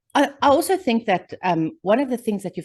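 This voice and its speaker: With a strong South African accent, a woman speaks with very wide pitch swings. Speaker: podcast co-host. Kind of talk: casual chat.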